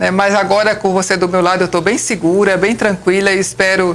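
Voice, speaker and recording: A woman with a northeastern Brazilian accent, medium pitch, fairly even intonation and a fairly quick pace, over noticeable background noise. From Brazilian Northeast, Alagoas and Paraíba (Campina Grande). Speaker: civil engineer. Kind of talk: interview.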